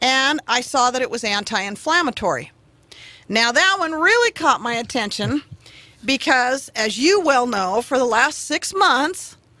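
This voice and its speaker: A woman raises and projects her voice at a high pitch, her tone bright and sharp, her intonation lively and her pace fairly slow. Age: 50s. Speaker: radio show guest. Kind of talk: casual chat.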